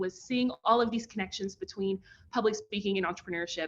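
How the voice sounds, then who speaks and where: A woman with a Kentucky accent, medium-pitched, her tone bright and sharp. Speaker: professor and pitch coach. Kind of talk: online workshop presentation. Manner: animated.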